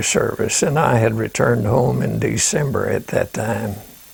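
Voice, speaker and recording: A moderate pace over noticeable background noise. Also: man. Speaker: war veteran. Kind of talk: interview answer.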